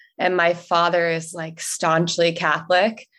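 This is an ordinary speaking voice, a woman's with an American accent and fairly low pitch. She talks at a fairly slow pace against a quiet background. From US South, North Carolina. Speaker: social media director, podcast guest. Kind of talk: personal story interview.

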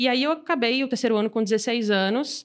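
With lively intonation and a fairly high pitch, a woman talks in an unremarkable speaking voice. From Brazil, Salvador (Bahia). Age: 20s. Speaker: startup founder and CEO, angel investor. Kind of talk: casual interview.

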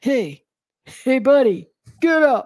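Shouting in a put-on character voice, a female-sounding speaker uses a gruff, high pitch in a New York accent.

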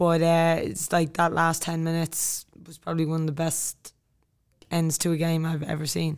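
A woman speaks with an Irish accent at a fairly low pitch. Her intonation is monotone and flat, while her loudness swings widely. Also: moderate pace. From Ireland. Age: 20s. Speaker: army officer and soccer player. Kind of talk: casual interview.

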